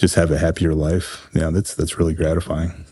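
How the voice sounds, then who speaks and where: A man with a very deep, low pitch, monotone, flat intonation and a fairly quick pace. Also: quiet background. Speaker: counselor; podcast guest.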